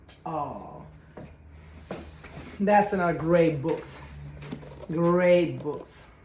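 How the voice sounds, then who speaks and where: With noticeable background noise behind her, a woman speaks very slowly at a fairly low pitch, her intonation fairly even and her pauses long and frequent. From Italy. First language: Italian. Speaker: spiritual energy cleanse content creator. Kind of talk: casual vlog talk. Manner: halting.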